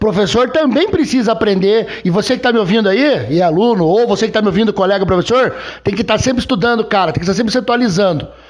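A man's extremely high-pitched voice at a very fast pace over noticeable background noise. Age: 50s. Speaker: podcast host and history teacher. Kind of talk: casual chat. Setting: guest's home.

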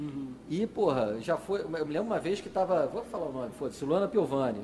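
A man at a very fast pace, lively in intonation, over noticeable background noise. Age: 40s. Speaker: nightlife promoter. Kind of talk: casual chat.

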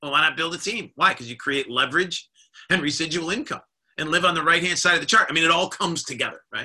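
Speaking at a very fast pace, a man has a high pitch with ordinary variation. His tone is bright and sharp. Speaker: leadership coach and network marketing leader. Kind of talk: weekly motivational live stream talk. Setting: live Zoom video stream.

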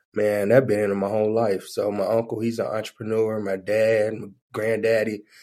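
Speaking at a moderate pace in a Southern US accent, a man has a fairly low pitch, monotone, flat intonation and a dark, mellow tone. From southeast Alabama (Daleville). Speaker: funeral business entrepreneur. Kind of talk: casual chat.

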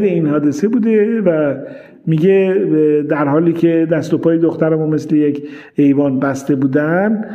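In a room with audible echo, a man talks fairly slowly at a high pitch with ordinary pitch variation. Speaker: neurology professor. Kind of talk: interview.

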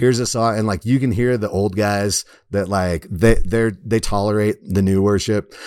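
At a moderate pace, a man with a fairly low pitch and fairly even intonation talks in an ordinary speaking voice. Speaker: podcast host and former teacher. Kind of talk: casual chat.

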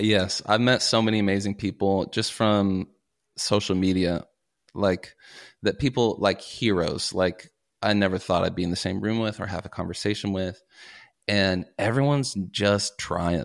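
This man has an unremarkable speaking voice, fairly low in pitch, with fairly even intonation at a moderate pace. The recording is very clean, with a silent background. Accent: American. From US South, Kentucky (Paducah). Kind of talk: casual interview chat.

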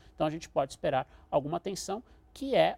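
Lively intonation marks this man's fairly high, a normal speaking voice, heard in a dry, close sound with no echo. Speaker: international relations professor. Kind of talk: expert interview.

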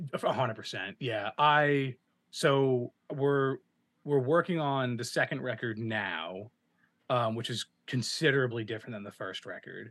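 In an American accent, a man of medium pitch speaks with ordinary pitch variation and big swings in loudness. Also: moderate pace. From South Jersey, US. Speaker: musician and filmmaker. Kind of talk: interview.

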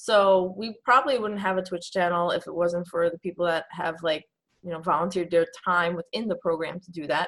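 Set against a silent background in a very clean recording, a normal speaking voice with an American accent moves at a fairly quick pace, showing ordinary pitch variation and big swings in loudness. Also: woman, fairly low pitch for a woman. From New York City. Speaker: esports coach. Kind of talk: interview.

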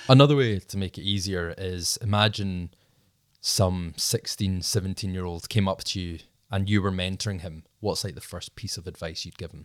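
A man with a Scottish accent talks at a moderate pace in a very deep, low voice, fairly even in intonation but with big swings in loudness, on a very clean recording with a silent background. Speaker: podcast host. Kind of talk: casual interview chat.

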